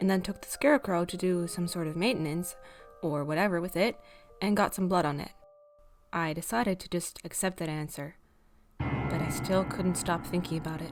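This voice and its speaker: Over music in the background, a woman speaks at a fairly quick pace with a fairly low pitch. She takes long, frequent pauses, and her loudness swings widely. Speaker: horror story narrator. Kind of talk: horror story reading.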